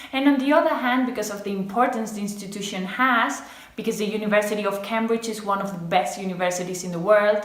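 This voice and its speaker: A woman at medium pitch talking at a very fast pace, with ordinary pitch variation, big swings in loudness, audible room echo and noticeable background noise. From Spain. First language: Spanish. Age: 20s. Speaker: medical student. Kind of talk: personal testimonial to camera.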